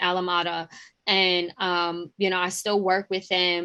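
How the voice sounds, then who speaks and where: Bright and sharp in tone, a woman speaks fairly slowly with a New York accent. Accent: deep New York. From New York City, Queens. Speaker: journalist and digital editor. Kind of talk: interview. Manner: hesitant, many fillers.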